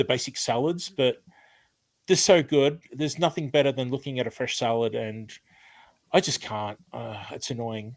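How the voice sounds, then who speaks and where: A man speaks with an Australian accent at a moderate pace, his medium pitch showing ordinary variation. The recording is very clean, with a silent background. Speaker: retired chef and cooking/gardening channel host. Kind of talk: live stream chat with viewers. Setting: home, live stream. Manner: casual, many fillers (um).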